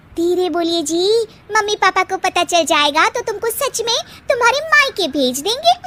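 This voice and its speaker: In a cartoonish character voice, a woman speaks at a moderate pace with an extremely high pitch and very wide pitch swings. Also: dry, close sound with no echo. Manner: scolding, exasperated.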